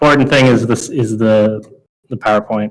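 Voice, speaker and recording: A man speaks with an American accent. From US West Coast. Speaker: game developer giving a talk. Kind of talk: lecture. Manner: fast.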